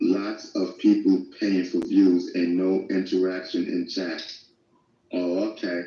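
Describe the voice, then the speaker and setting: The speech comes at a very slow pace, with audible room echo. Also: man. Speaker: livestreamer. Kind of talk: casual chat. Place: home room. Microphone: phone near.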